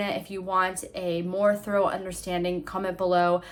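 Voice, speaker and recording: A woman speaks at medium pitch. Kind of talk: devotional talk to camera. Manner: fast; earnest.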